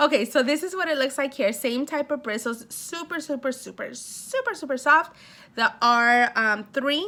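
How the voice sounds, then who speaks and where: In a Spanish accent, a woman speaks in a high, raised and projected voice, animated and bright with a sharp tone and ordinary pitch variation. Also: moderate pace. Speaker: beauty vlogger. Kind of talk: casual unboxing vlog. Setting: at home.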